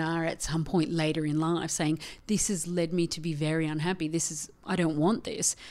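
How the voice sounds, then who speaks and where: In an Australian accent, a woman talks at a fairly quick pace with a fairly low pitch and a dark, mellow tone. Her intonation is fairly even, and the recording is very clean with a silent background. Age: 40s. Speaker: feminist theologian. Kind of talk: casual chat. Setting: studio.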